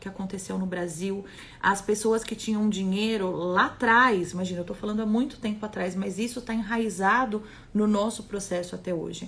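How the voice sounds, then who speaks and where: At a moderate pace, a woman with a Brazilian accent talks at a medium pitch with fairly even intonation. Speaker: holistic therapist. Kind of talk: live stream talk.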